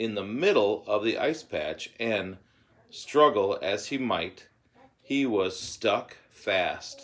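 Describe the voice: Read aloud plainly, the voice carries lively intonation.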